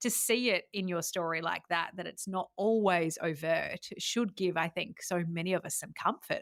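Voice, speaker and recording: In an Adelaide Australian accent, the speaker talks at a moderate pace with hardly any pauses and ordinary pitch variation, on a very clean recording with a silent background and a dry, close sound with no echo. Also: woman, medium pitch for a woman. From Australia, Adelaide. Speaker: podcast host. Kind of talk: interview conversation. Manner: animated.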